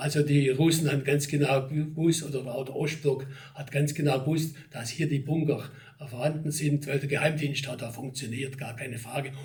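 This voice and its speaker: Over noticeable background noise and audible room echo, a man speaks at a moderate pace and fairly high pitch, his intonation monotone and flat while his loudness swings widely. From Germany, Ostalbkreis area, Swabia. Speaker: local history society chairman, retired town official. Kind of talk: interview. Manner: conversational, with fillers.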